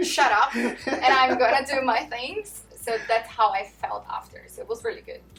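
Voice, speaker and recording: Over noticeable background noise, a woman talks in a high pitch with hardly any pauses. Her intonation is lively and her loudness swings widely. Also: moderate pace. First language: not English. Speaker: manager. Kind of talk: interview.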